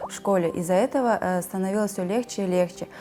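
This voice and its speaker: The pitch of this woman's voice is medium. It rises and falls in an ordinary way. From Kazakhstan. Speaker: immigrant mother. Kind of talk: interview. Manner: hesitant, with fillers.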